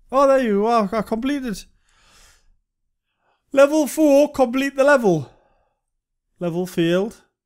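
Speaking with a Geordie accent at a fairly slow pace, the voice has lively intonation and long, frequent pauses in a very clean recording with a silent background. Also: man, extremely high pitch for a man. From Northern England. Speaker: game reviewer. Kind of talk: casual gameplay commentary. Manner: mumbling.

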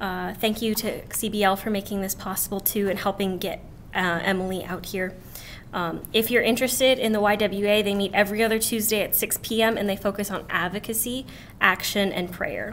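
A woman talks at a moderate pace and a medium pitch. Her intonation stays monotone and flat over light background noise. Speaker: student event organizer; student event host introducing a speaker. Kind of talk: event introduction. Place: classroom. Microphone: podium.

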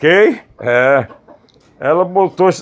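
A man with a high voice speaks at a fairly slow pace, his pitch varying in an ordinary way. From Brazil, Fortaleza, Ceará (Northeast); Ceará, Brazil. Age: 50s. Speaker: journalist and video blogger; journalist, video blogger. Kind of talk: casual storytelling vlog. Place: garden. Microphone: phone near.

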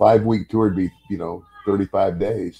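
Very slowly, a man speaks in a very deep, low, dark and mellow voice with ordinary pitch variation. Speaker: podcast guest. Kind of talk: interview answer. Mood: amused, relaxed. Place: home room. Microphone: webcam.

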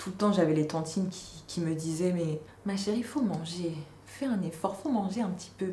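A woman at a moderate pace with ordinary pitch variation, audible room echo around her voice. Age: 20s. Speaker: YouTuber. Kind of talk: vlog monologue. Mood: calm, reflective, lightly animated. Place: home room.

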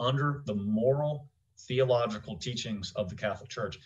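A man speaks at a moderate pace with ordinary pitch variation. His voice is somewhat breathy. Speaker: podcast host. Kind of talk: interview question and commentary. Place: home room. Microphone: studio mic.

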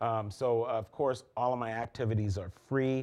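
With fairly even intonation, a man keeps to a moderate pace. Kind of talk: interview answer. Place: studio. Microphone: lapel.

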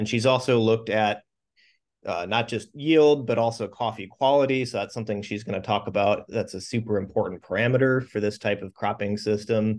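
Fairly quick speech from a man, fairly even intonation, quiet background. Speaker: professor. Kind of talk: speaker introduction. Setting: classroom. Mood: warm, appreciative. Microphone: video call.

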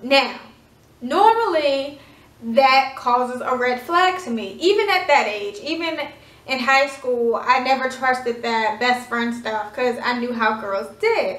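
A woman's high voice comes at a fairly slow pace amid audible room echo. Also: lively intonation. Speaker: vlogger. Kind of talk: storytelling; casual storytime vlog chat. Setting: at home. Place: home room. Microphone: phone near.

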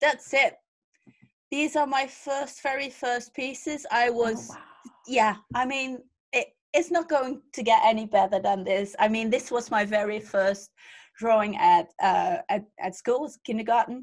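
A woman speaks at a fairly slow pace in a high pitch with lively intonation. The background is quiet. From Netherlands. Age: 40s. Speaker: fantasy artist. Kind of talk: casual panel conversation. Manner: laughs often. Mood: amused, self-deprecating. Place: home room. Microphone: video call.

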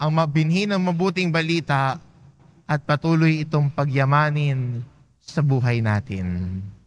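A man speaks in a normal speaking voice at a fairly slow pace. His pitch is fairly high, with lively intonation. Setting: church. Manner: calm, measured pastoral delivery; gently exhortative, inviting tone.

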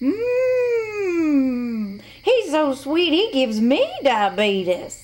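In a put-on character voice, the speaker talks at a very slow pace with very wide pitch swings. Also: female-sounding voice, high pitch for a woman.

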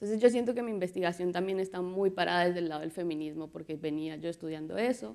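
A very fast pace with hardly any pauses and ordinary pitch variation. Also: woman, fairly low pitch for a woman. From Colombia. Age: 30s. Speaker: visual artist and muralist; speaker. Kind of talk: conference talk. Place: hall. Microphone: lapel.

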